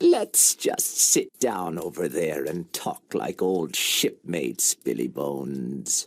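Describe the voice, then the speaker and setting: In a put-on character voice pitched very deep and low, the speaker goes very slowly with hardly any pauses. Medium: read story. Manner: sneering, mock-friendly.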